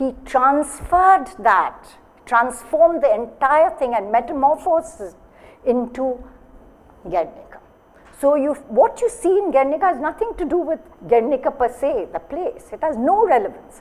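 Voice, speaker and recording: At a moderate pace, the speaker uses very wide pitch swings in an Indian accent. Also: woman, high pitch for a woman. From India, Bengal. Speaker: gallery director and moderator; moderator. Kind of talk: moderating a panel discussion. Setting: gallery with live audience. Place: hall.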